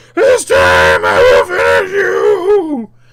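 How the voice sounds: In a put-on character voice, a man shouts in a raised voice at a high pitch, with a fairly bright tone, very wide pitch swings, and a slow pace.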